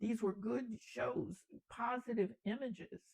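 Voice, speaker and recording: A woman with an American accent and vocal fry is heard in a dry, close sound with no echo. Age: 80s+. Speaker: storyteller. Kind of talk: motivational talk.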